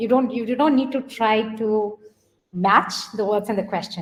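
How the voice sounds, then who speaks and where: Woman with an Indian accent. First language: Hindi. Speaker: coding educator, workshop leader; coding educator. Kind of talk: online workshop instruction. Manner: hesitant, many fillers. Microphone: webcam.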